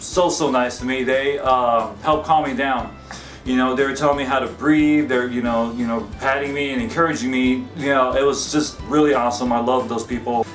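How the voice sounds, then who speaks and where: Over faint background music, a man talks at a fairly quick pace with fairly even intonation. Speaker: vlogger. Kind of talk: casual vlog chat. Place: home room. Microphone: camera far.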